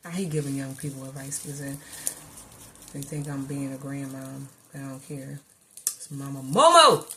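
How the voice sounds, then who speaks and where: A woman's very deep, low pitch at a moderate pace, with long, frequent pauses, big swings in loudness and noticeable background noise. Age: 50s. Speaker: vlogger / commentator. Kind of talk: casual monologue to camera. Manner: animated.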